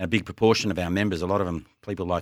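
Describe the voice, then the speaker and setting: Very deep and low, a man's voice carries an Australian accent in a flat monotone. The recording is very clean, with a silent background. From western Sydney, Australia. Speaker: podcast co-host. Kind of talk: casual chat.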